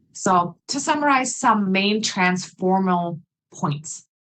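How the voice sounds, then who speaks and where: A woman speaks with a non-native accent. Her voice is somewhat breathy. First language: not English. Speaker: English teacher, conference speaker. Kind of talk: conference presentation.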